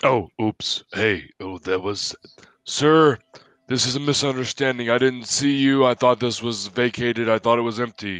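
A man does a put-on character voice at medium pitch and a moderate pace. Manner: flustered, apologetic. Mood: flustered, apologetic.

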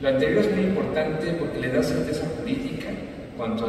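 Strong room echo and noticeable background noise come with a man's voice. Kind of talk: press statement. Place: hall.

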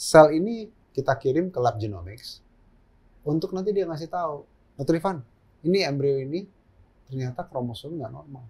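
With lively intonation and big swings in loudness, a man with a fairly high voice talks at a moderate pace, broken by long, frequent pauses. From Jakarta, Indonesia. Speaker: gynecologist and fertility doctor; guest. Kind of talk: interview conversation. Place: studio.

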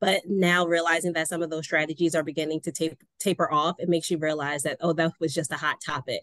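A woman with an American accent, very deep and low-pitched, at a fairly quick pace, dry with no echo, against a quiet background. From Baltimore, US. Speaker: nonprofit development director; panelist. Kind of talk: panel discussion. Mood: earnest, somewhat disheartened. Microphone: video call.

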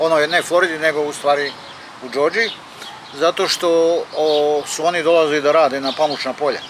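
A man talks at a fairly quick pace with fairly even intonation. The sound is dry with no echo, and background noise is noticeable. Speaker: vlogger. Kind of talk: casual vlog chat. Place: open country. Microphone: phone near.

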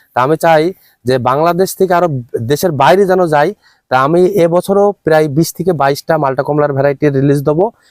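With a fairly high pitch, a man speaks in an unremarkable speaking voice, with fairly even intonation and very even loudness, in a dry, close sound with no echo. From Bangladesh, Chuadanga district. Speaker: agricultural entrepreneur, orange grower. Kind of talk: on-site interview.

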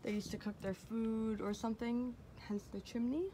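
Noticeable background noise is present. Over it, a woman talks at a moderate speed. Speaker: vlogger exploring ruins. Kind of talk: casual vlog chat. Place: open country. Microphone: phone near.

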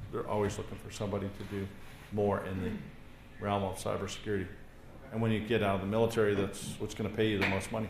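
Amid light background noise and audible room echo, a man speaks very fast in a monotone, flat delivery at a fairly low pitch. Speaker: course instructor. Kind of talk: lecture. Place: classroom.

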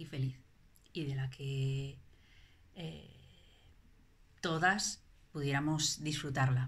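A woman speaks at a very slow pace. Her voice is very deep and low in pitch and somewhat breathy. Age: 40s. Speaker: parent giving a testimonial. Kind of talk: testimony. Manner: halting, many fillers and repetitions. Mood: reflective, calm. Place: home room. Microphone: phone near.

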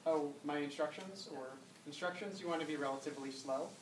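The speech moves at a fairly quick pace over noticeable background noise. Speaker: instructor. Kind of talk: lecture. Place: classroom.

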